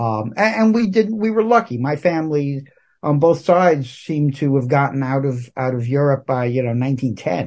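With a New York accent, a man speaks at a moderate pace in a fairly high pitch with very wide pitch swings against a quiet background. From Brooklyn, New York. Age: 60s. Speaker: comic book writer. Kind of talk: casual interview. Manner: halting.

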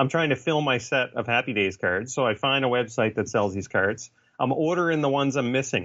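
A man with a Canadian accent and a plain, everyday voice, medium in pitch, with ordinary pitch variation and a moderate pace. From Canada. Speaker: author and graphic designer. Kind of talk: casual chat.

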